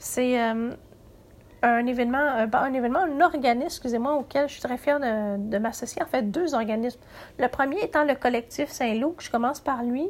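A woman talks at a moderate pace with a high-pitched voice. The recording is very clean, with a silent background. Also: ordinary pitch variation. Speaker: podcast host, writing workshop leader. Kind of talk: writing workshop tutorial. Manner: halting, frequent hesitations and repeats; somewhat read-aloud delivery.

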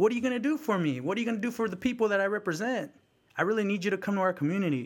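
A man with a Bay Area accent speaks at a very fast pace in a high pitch and lively intonation. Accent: Bay Area American English. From San Francisco Bay Area, California. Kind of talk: casual conversational storytelling.

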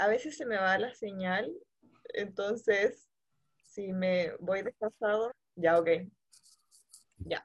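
Speaking very slowly with long, frequent pauses, a woman uses a medium pitch and ordinary pitch variation, recorded with a dry, close sound and no echo. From Santiago, Chile. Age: 20s. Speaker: returned missionary. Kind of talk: testimony.

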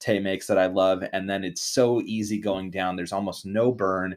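A man's fairly low, monotone voice with flat intonation, on a very clean recording with a silent background. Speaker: podcast host. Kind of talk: casual chat. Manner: joking banter.

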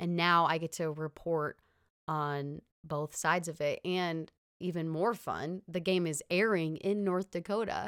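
Fairly slow speech from a woman with a US Midwestern accent, fairly low in pitch with fairly even intonation, in a dry, close sound with no echo. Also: very clean recording, silent background. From US Midwest (Illinois). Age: 20s. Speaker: sports reporter. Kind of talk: interview. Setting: studio.

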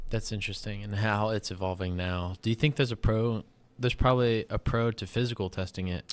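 On a very clean recording with a silent background, a man with an American accent and a fairly low pitch speaks at a fairly quick pace with fairly even intonation. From US coastal beach town. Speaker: podcast host. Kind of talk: casual interview. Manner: halting, many fillers.

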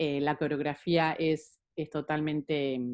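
Woman's voice with a very deep, low pitch. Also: dry, close sound with no echo. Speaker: psychologist and movement therapist. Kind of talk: interview.

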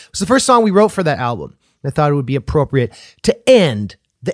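The man's voice sits fairly high, with very wide pitch swings. The sound is dry and close with no echo, in a very clean recording with a silent background. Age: 30s. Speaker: podcast host and rapper. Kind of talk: podcast interview; podcast intro.

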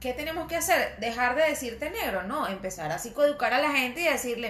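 There is noticeable background noise and audible room echo as a woman speaks in a high pitch. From Venezuelan Andes, Mérida state. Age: 30s. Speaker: podcast co-host. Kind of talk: casual chat.

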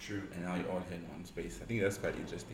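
A man speaks in a very deep, low pitch. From South Africa, Pretoria. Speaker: podcast host. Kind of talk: casual chat. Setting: studio.

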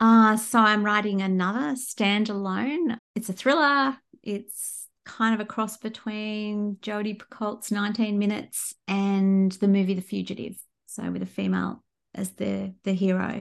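This voice, in an Australian accent, moves at a fairly slow pace with ordinary pitch variation. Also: woman, medium pitch for a woman. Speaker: crime fiction author. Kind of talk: interview. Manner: hesitant, with fillers.

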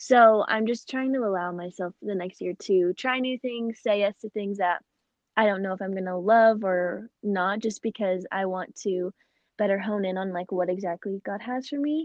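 With an American accent, a woman has an ordinary speaking voice at a medium pitch, ordinary pitch variation and a moderate pace. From Phoenix, Arizona. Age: 20s. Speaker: podcast host and college student. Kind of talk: casual interview.

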